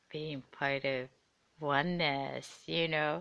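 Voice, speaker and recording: Against a quiet background, a woman with a non-native accent talks at a very slow pace. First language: not English. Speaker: intuitive reader and podcaster. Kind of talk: solo live podcast, casual monologue. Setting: home, on the couch. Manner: halting.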